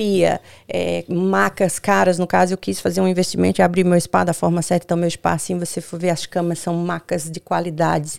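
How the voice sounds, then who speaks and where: The woman talks at a moderate pace. She hardly pauses at all. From Brazil, Bahia (Northeast). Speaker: sex coach and spa owner. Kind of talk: casual chat.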